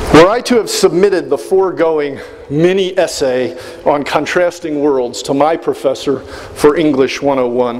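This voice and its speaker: Noticeable background noise surrounds a man speaking with a fairly high pitch. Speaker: brigadier general, commencement speaker. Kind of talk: commencement address. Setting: large hall with audience and public address.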